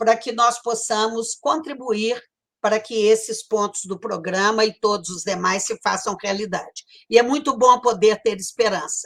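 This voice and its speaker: This voice carries a Brazilian accent. It moves at a moderate pace with ordinary pitch variation. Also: woman, fairly high pitch for a woman. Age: 70s. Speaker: panel moderator, former university rector. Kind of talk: panel debate moderation.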